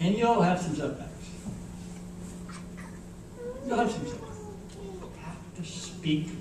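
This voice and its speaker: Over noticeable background noise and audible room echo, a man speaks with a high pitch. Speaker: keynote speaker. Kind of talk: graduation keynote speech. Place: hall. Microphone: pa.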